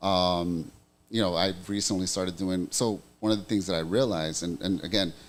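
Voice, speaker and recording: A man's very deep, low voice with a Spanish accent at a fairly quick pace, on a very clean recording with a silent background. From US, Puerto Rican family. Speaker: podcast guest. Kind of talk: casual chat. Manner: animated.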